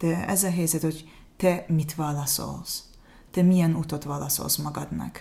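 Somewhat breathy and dark, mellow in tone, a woman with an Azerbaijani accent speaks at a very deep, low pitch and a fairly slow pace, with monotone, flat intonation and long, frequent pauses. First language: Azerbaijani (speaking Hungarian). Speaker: refugee. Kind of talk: interview. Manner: halting.

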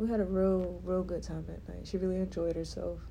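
She has an American accent. The voice belongs to a woman. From Georgia (US). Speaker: podcast co-host, active duty military member. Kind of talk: casual chat.

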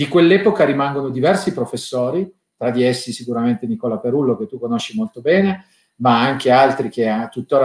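An unremarkable speaking voice, a man at medium pitch with lively intonation and a moderate pace. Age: 40s. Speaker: law professor and winemaker. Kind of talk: interview.

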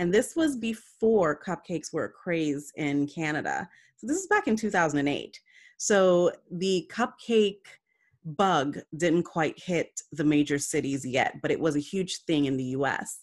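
A woman's fairly low-pitched voice, lively in intonation and fairly slow in pace, an ordinary speaking voice. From Jamaica, then New York City from age ten. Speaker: entrepreneur and business network founder. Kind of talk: interview.

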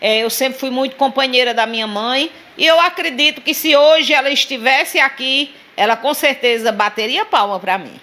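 A woman speaks in a high, raised, projected voice at a moderate pace. Her pitch moves in an ordinary way, with noticeable background noise behind her. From Sousa, Paraíba, Brazilian Northeast. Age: 50s. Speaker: political activist. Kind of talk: interview.

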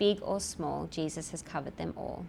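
A woman with a fairly low voice and vocal fry talks at a moderate pace. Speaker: lawyer and church speaker. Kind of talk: sermon, then hushed fervent prayer. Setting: church with live congregation. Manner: soft, earnest, reverent; casual, self-deprecating, humorous.

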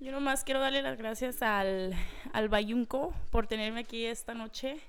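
The voice moves at a moderate pace, with room echo clearly audible. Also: woman. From New Mexico, Santa Fe. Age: 20s. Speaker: guest. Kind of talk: casual chat.

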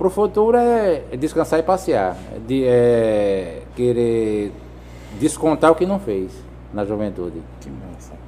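Speaking at a very slow pace, a man shows big swings in loudness. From Brazilian Northeast, Juazeiro do Norte, Ceará. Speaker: vehicle sticker installer. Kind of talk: casual interview. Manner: halting, repeats words.

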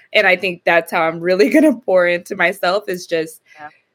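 In a normal speaking voice, a woman at medium pitch talks with lively intonation at a moderate pace. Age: 30s. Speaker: parent of two, host's sister. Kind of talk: casual chat.

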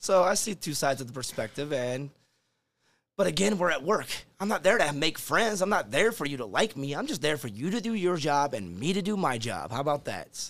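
Using vocal fry, a man with an American accent and fairly high pitch makes very wide pitch swings. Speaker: line cook. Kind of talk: casual chat. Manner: fast.

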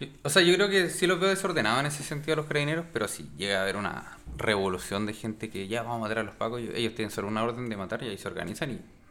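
A man talks at a very fast pace in a medium pitch. His voice swings very widely in pitch. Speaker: podcast co-host. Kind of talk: casual chat.

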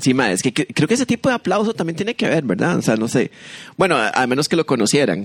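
Speaking at a very fast pace, a man with a fairly high pitch and vocal fry makes very wide pitch swings. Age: 40s. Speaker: podcast co-host, comedian. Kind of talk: casual comedic chat.

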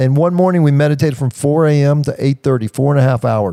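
A man speaks at a moderate pace with a fairly high pitch and a dark, mellow tone. The recording is very clean, with a silent background and a dry, close sound with no echo. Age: 60s. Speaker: podcast host and health retreat founder. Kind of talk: casual podcast talk, motivational.

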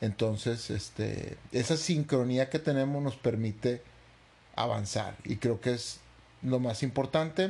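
A man talks at a very slow pace, his medium-pitched voice somewhat breathy. The tone is dark and mellow, with ordinary pitch variation. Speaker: podcast co-host. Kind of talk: casual chat.

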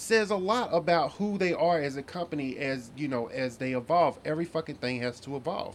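Here a man speaks in a fairly high voice at a moderate pace. His pitch swings very widely. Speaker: podcast co-host. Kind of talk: casual chat.

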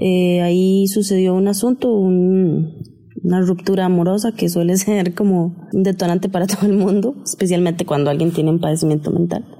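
With noticeable background noise behind her, a woman talks at a moderate pace and medium pitch, her intonation fairly even and her loudness very even. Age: 30s. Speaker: guest sharing mental health story. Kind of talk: personal testimony.

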